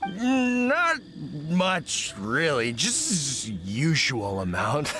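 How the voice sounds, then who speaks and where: Over clear background noise, a man does a put-on character voice at a fairly high pitch, speaking very slowly. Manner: casual, dismissive.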